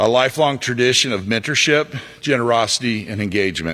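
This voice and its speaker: A man speaks at a fairly quick pace with ordinary pitch variation. He has an unremarkable speaking voice. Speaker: alumni board president. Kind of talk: ceremony speech. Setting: stage with audience. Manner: formal.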